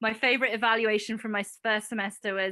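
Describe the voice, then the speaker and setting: Over a quiet background, a woman with a British accent speaks fairly quickly in a bright, sharp tone with monotone, flat intonation. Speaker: biology professor. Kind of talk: panel discussion.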